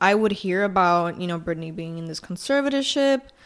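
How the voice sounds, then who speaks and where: This woman speaks with a Puerto Rican accent. Her pitch swings very widely. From Puerto Rico. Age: 20s. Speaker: podcast host. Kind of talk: casual chat. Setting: sitting at a vanity at night. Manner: casual Spanish-English code-switching.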